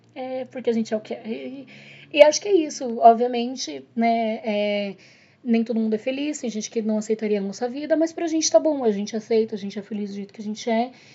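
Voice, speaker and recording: With lively intonation and big swings in loudness, a woman talks at a fairly quick pace. She has a plain, everyday voice at a fairly high pitch. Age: 30s. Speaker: podcast guest, host's partner. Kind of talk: casual chat.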